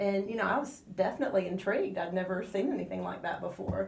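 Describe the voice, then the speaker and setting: Audible room echo surrounds a woman speaking at medium pitch with ordinary pitch variation. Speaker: astrologer. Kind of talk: radio interview. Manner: slow.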